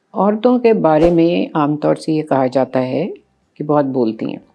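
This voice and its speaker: A woman speaks in a very deep, low voice. Music plays in the background. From Pakistan. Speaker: radio broadcaster. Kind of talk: interview answer.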